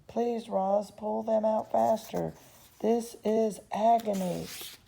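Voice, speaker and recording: A female-sounding, put-on character voice moves at a very slow pace. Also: fairly high pitch for a woman. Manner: pleading, speaking through gritted teeth.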